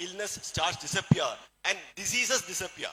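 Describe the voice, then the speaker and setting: A man speaks with a Keralan accent. His tone is bright and sharp. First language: Malayalam. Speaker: doctor giving a health talk. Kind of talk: motivational health talk. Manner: halting.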